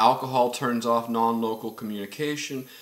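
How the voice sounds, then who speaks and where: Over noticeable background noise, a man talks with monotone, flat intonation. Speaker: spiritual vlogger. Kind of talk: personal testimony. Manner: halting, many fillers and repeats.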